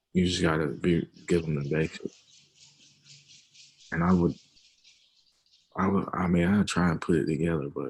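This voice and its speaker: A man with a very deep, low voice talks at a moderate pace with fairly even intonation. He takes long, frequent pauses. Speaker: forex trader. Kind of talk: casual chat. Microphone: video call.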